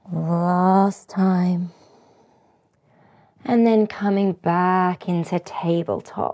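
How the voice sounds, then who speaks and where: A soft-spoken woman with a British accent and medium pitch has a gentle tone that is also dark and mellow. She talks at a very slow pace in a monotone, flat intonation, with long, frequent pauses, on a very clean recording with a silent background. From Britain. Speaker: yoga teacher. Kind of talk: guided yoga class instruction. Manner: soft-spoken, slow, gentle.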